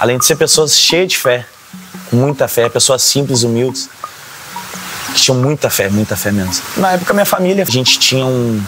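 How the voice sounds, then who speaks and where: A man speaks at a medium pitch and a fairly quick pace, with ordinary pitch variation. Music plays in the background. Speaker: religious drummer and singer. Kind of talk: documentary interview testimony.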